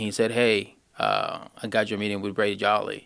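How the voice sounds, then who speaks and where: A man's bright, sharp tone with a Spanish accent. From Honduras. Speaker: HVAC apprentice. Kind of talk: casual interview. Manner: halting.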